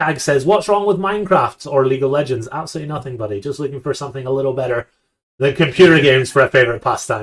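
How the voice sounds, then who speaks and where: Speaking very fast, a man with a fairly high, somewhat breathy voice uses ordinary pitch variation. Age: 30s. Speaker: poker podcast host. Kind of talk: casual chat. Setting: live stream. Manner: animated.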